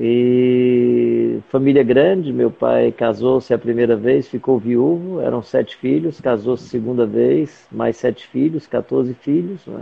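A man speaks at a very slow pace. There are hardly any pauses. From Fortaleza, Ceará, Brazil. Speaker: missionary. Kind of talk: interview. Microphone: mobile 4G connection.

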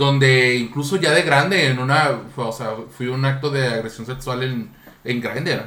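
At a fairly slow pace, a man with a medium pitch speaks amid audible room echo and noticeable background noise. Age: 30s. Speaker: podcast host. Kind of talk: casual chat. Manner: animated.

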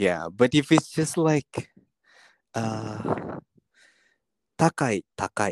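A man speaks very slowly at a medium pitch, with very wide pitch swings. Long, frequent pauses break his speech, and the sound is dry and close with no echo. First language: not Japanese (speaking Japanese). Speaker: podcast co-host. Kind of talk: casual bilingual chat.

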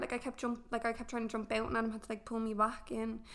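A woman's very fast speech in an Irish accent. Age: 20s. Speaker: young mother. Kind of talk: casual chat. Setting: apartment.

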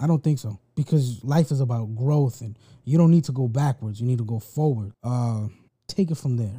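This man has a dark, mellow tone at a medium pitch, somewhat breathy. His pitch varies in an ordinary way. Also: moderate pace, dry, close sound with no echo. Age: 30s. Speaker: podcast host. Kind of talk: casual chat.

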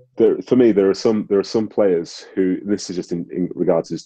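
A man is talking. He speaks with a Manchester accent. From Manchester, England (born in Nigeria). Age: 30s. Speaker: ex-professional footballer. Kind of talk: interview.

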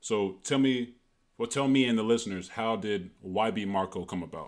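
A man's unremarkable speaking voice at medium pitch, moderate pace and ordinary pitch variation, in a very clean recording with a silent background. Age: 20s. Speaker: podcast host, former college athlete. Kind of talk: casual interview chat.

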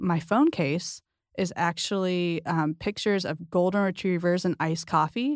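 A woman with an American accent has an unremarkable speaking voice, fairly low in pitch with ordinary pitch variation at a moderate pace. The sound is dry and close with no echo, in a very clean recording with a silent background. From US West Coast, San Diego. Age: 30s. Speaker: marriage and family therapist. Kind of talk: casual chat.

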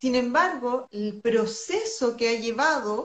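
A woman's voice, high in pitch. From Peru. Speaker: health coach. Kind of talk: casual chat. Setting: video call.

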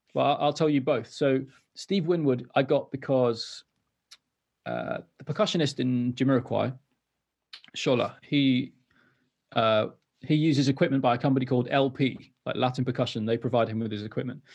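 Against a quiet background, a man with a Welsh accent talks at a moderate pace and medium pitch, with fairly even intonation and long, frequent pauses. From North Wales. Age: 30s. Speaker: musician. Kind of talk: casual chat. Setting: video call.

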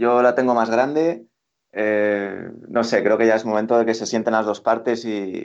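Over a quiet background, a man talks at a moderate pace and medium pitch. He has a normal speaking voice. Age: 20s. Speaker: futsal pundit. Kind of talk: casual chat. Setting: call.

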